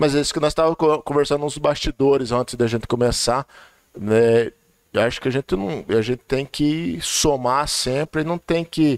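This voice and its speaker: A man's unremarkable speaking voice, fairly high in pitch, at a moderate pace with ordinary pitch variation, in a dry, close sound with no echo. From Vale do Ribeira, São Paulo state, Brazil (Cajati). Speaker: technical school director. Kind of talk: casual chat.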